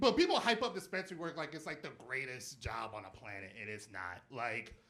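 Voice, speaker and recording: A man talks at a fairly quick pace. Audible room echo and noticeable background noise are present. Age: 30s. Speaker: stand-up comedian. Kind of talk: stand-up. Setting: stage with audience. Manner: animated.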